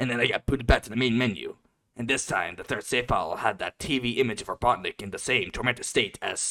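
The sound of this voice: Quiet background behind an unforced reading voice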